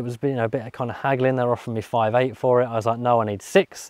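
This man is recorded against a quiet background. The sound is dry, without any echo. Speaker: car vlogger. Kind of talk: casual vlog chat. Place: open country. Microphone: lapel.

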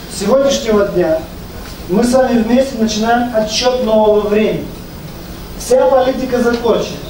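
A man with an extremely high pitch speaks in an animated tone at a very even loudness, with long, frequent pauses, audible room echo and light background noise. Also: moderate pace. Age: 50s. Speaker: network marketing leader. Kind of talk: business presentation. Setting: live event with microphone, audience. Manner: animated, persuasive. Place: meeting room.

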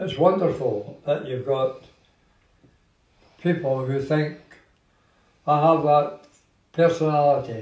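A man with a Glaswegian accent speaks very slowly in a somewhat breathy voice with ordinary pitch variation, long, frequent pauses and audible room echo. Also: fairly high pitch for a man. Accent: Glaswegian Scottish. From Scotland, Glasgow. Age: 80s+. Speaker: social media personality. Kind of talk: casual chat. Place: home room. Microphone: phone near.

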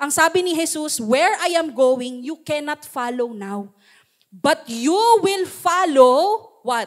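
Lively in intonation and animated in tone, a woman talks at a fairly slow pace. The background is quiet. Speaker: pastor. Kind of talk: sermon. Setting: church. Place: church. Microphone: handheld.

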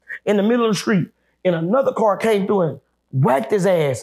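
Fairly quick, lively intonation from a man with a high voice, set against a quiet background. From Dallas, Texas; Texas. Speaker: nightlife entertainer; guest. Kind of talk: casual chat. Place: studio.

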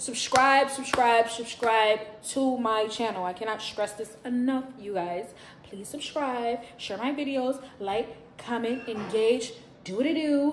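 Against noticeable background noise, a woman speaks at a fairly slow pace with ordinary pitch variation and long, frequent pauses. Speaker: vlogger. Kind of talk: casual vlog chat. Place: home room. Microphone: phone near.

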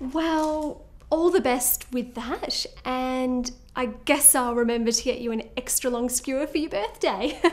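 Her voice is high-pitched, with ordinary pitch variation. The woman speaks at a fairly slow pace. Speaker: actress in a comedy scene. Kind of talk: scripted comedic dialogue. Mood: wry, teasing.

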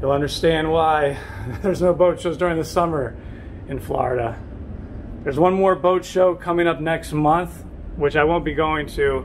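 A man speaks at a moderate pace with fairly even intonation. Light background noise is present. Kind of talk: casual vlog chat. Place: boat. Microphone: phone near.

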